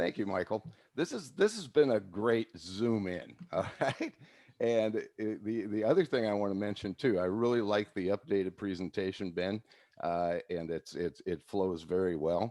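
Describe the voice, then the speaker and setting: The man has a fairly low pitch and a dark, mellow tone. His pitch varies in an ordinary way. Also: moderate pace. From California. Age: 60s. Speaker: physiologist and network marketing distributor. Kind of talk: casual presentation on video call. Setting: video call. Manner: halting, many fillers.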